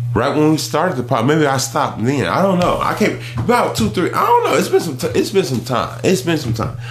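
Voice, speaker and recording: A man talks at a fairly quick pace with hardly any pauses, his fairly high pitch full of lively intonation, amid noticeable background noise and audible room echo. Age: 30s. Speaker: podcast co-host. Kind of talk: casual chat.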